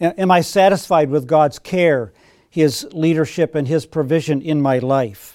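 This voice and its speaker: On a very clean recording with a silent background, a man talks at a fairly slow pace in a fairly high voice with ordinary pitch variation. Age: 60s. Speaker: pastor. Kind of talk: sermon. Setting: church. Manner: halting.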